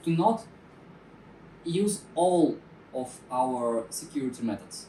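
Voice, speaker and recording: The pace is very slow. The speaker has a non-native accent. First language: not English. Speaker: security talk presenter. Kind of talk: technical talk. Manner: halting, many fillers.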